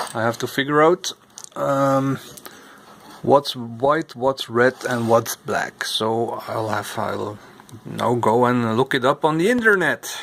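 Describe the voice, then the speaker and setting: Speaking very slowly with a non-native accent, a man keeps ordinary pitch variation. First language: not English. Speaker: vintage computer repair YouTuber. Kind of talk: repair tutorial; tutorial. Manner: halting, many fillers. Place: workshop. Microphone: phone near.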